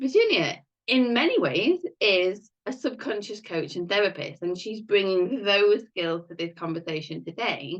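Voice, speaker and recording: A woman with a British accent, medium-pitched, with lively intonation at a moderate pace. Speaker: podcast host, life coach. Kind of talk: interview.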